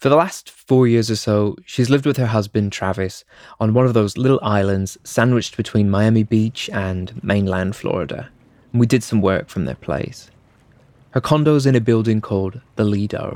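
Heard on a very clean recording with a silent background, a man with an ordinary speaking voice talks at a moderate pace, at a fairly low pitch with ordinary pitch variation. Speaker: radio producer and podcast host. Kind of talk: scripted narration.

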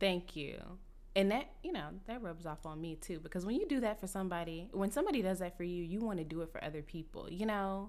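Talking at a very fast pace with an American accent, a woman keeps a medium pitch with ordinary pitch variation. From Texas, Dallas. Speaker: podcast host and comedian. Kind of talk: casual chat.

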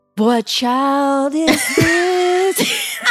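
A put-on character voice pitched high. Faint music plays in the background. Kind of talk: polished broadcast.

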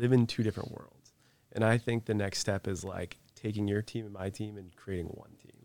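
A man with an American accent and a normal speaking voice, fairly low in pitch, at a moderate pace with ordinary pitch variation, dry and close with no echo. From US Northeast. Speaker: author and businessman. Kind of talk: casual chat.

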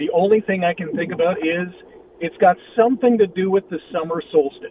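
A man with a high pitch for a man keeps a moderate pace, and noticeable background noise runs underneath. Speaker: football commentator. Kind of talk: casual sports talk.

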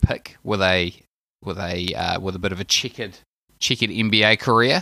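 A man with a New Zealand accent speaks at a moderate pace in a bright, sharp tone with ordinary pitch variation. The recording is very clean, with a silent background. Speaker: basketball fan correspondent. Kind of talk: casual chat. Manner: hesitant, many fillers.

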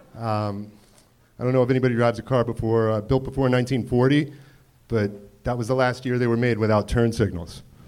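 The man has a medium pitch and an ordinary speaking voice. He talks at a fairly quick pace with fairly even intonation. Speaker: comedian. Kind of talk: stand-up. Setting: stage with audience.

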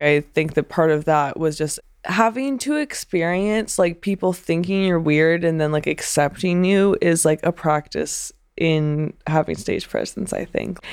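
A woman with an American accent speaks at a fairly slow pace in a normal speaking voice, her pitch fairly low with ordinary pitch variation. The recording is very clean, with a silent background. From Pennsylvania, US. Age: 20s. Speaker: actress. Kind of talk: interview. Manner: casual, many filler words.

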